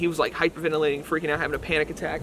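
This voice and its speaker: Over noticeable background noise, a man talks at a very fast pace in a fairly high pitch with monotone, flat intonation. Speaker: paranormal investigator, video creator. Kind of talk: casual vlog narration.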